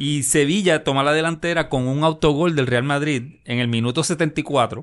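Against a quiet background, a man with a fairly high pitch talks at a fairly slow pace, with ordinary pitch variation and an unremarkable speaking voice. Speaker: sports podcast co-host. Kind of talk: casual chat.

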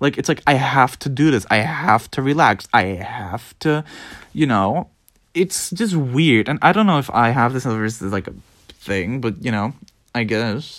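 The pace here is fairly slow. A Dutch accent colors the speech. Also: man, medium pitch for a man, lively intonation. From Netherlands. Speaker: podcaster. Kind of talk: casual solo ramble. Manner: rambling, casual, profane.

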